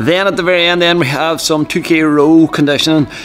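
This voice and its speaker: A man talks fairly quickly while faint music plays behind him. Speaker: fitness coach. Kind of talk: casual vlog chat. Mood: relaxed, upbeat. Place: gym. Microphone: phone near.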